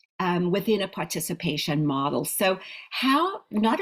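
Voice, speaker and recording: At a moderate pace, a woman speaks in a medium pitch with very wide pitch swings. Her voice is somewhat breathy. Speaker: speech pathologist trainer. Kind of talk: online training lecture.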